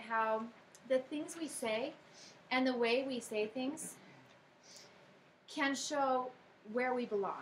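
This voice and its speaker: A woman with a high-pitched voice talks at a moderate pace. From United States. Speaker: worship talk speaker. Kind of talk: devotional talk.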